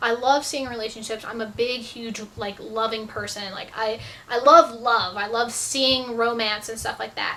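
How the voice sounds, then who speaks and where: A woman speaks in an animated tone at a moderate pace. Noticeable background noise is present. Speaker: YouTuber answering viewer questions. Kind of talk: casual Q&A vlog.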